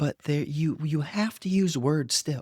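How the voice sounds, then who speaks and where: Here a man speaks in an unremarkable speaking voice at a fairly slow pace. His pitch variation is ordinary, and the sound is dry and close with no echo. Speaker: podcast host, spiritual coach for entrepreneurs. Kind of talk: monologue podcast teaching. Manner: casual, repetitive with fillers.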